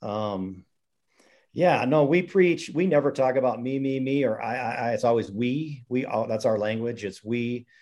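This man has an unremarkable speaking voice at medium pitch, moving at a moderate pace. His pitch variation is ordinary, and the background is quiet. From Montana (Missoula). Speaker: high school golf coach. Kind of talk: podcast interview.

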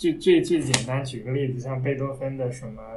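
Audible room echo surrounds a man speaking at a moderate pace with a fairly high pitch. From Taiyuan, Shanxi, northern China. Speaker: classical music enthusiast. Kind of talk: casual chat.

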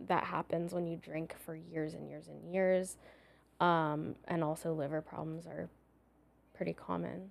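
A woman speaks at a moderate pace with a Californian accent, on a very clean recording with a silent background. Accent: Californian American. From San Diego, California. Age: 30s. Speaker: psychologist. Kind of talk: casual chat.

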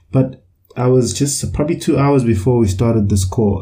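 A man speaks, somewhat breathy. The tone of his voice is dark and mellow. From KwaZulu-Natal, South Africa (Umlazi). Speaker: podcast co-host. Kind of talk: casual discussion. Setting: online call.

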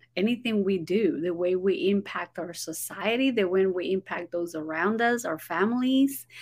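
A woman with a Spanish accent talks at a moderate pace with hardly any pauses, her medium pitch carried by lively intonation. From Guatemala. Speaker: ESL teacher and author. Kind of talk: casual interview chat. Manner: animated.

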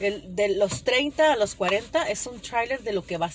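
A woman's medium-pitched voice moves with lively intonation. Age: 30s. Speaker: podcaster. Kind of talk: casual monologue. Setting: in a car.

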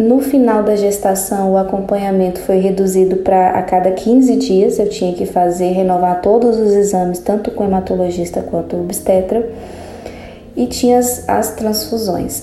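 A woman talks at a moderate pace with fairly even intonation, her voice carrying audible room echo amid noticeable background noise. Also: medium pitch for a woman. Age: 30s. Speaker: lawyer and patient sharing her experience. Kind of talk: personal testimony. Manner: halting.

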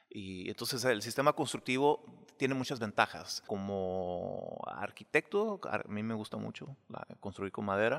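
A man's normal speaking voice, fairly low in pitch, at a fairly slow pace with ordinary pitch variation. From Mexicali, Mexico. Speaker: architect. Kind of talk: casual interview.

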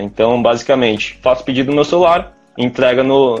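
Here a man uses an ordinary speaking voice, pitched at a medium level and moving at a moderate pace. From Brazil, São José dos Campos (São Paulo state). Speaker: startup founder. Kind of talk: casual interview chat. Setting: live stream.

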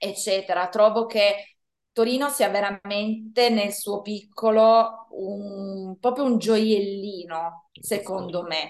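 Speaking at a very slow pace, a woman uses fairly even intonation at a medium pitch. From Italy, Turin. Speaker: Italian language teacher. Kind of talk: interview.

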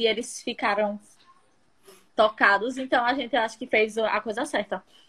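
A woman's high-pitched voice moves along at a moderate pace. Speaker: stage actress. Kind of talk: casual chat. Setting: instagram live video call. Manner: halting.

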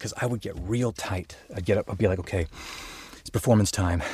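In a very clean recording with a silent background, a somewhat breathy voice with an American accent comes through dry and close, with no echo. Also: man. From Colorado (Denver, Boulder). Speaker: voice actor. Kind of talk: casual chat. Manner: halting, many fillers and repetitions.

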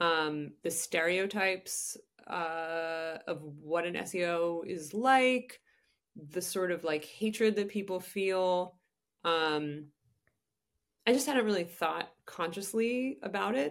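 A woman with a fairly low pitch talks at a very slow pace. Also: ordinary pitch variation. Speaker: journalist. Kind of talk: casual chat. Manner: many filler words.

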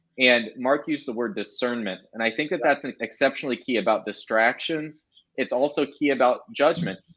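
A man with a normal speaking voice talks at a fairly quick pace with hardly any pauses, his medium pitch showing ordinary pitch variation. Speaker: church minister. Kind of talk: casual chat.

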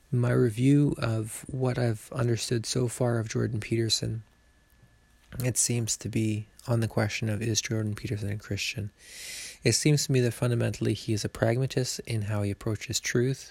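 Quiet and somewhat breathy, the voice keeps a moderate pace and fairly even intonation. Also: man, medium pitch for a man. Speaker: podcaster reviewing a public thinker's views. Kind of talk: solo monologue commentary. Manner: quiet, mellow tones.

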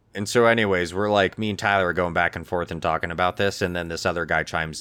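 Talking at a very fast pace, a man with a very deep, low pitch and ordinary pitch variation is heard over noticeable background noise. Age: 30s. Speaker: podcast co-host. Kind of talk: casual chat. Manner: animated.

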